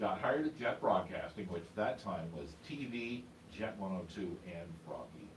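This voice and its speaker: With noticeable background noise and audible room echo, a man's voice shifts in very wide pitch swings. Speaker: radio DJ and newsreader. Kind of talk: casual interview chat. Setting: studio.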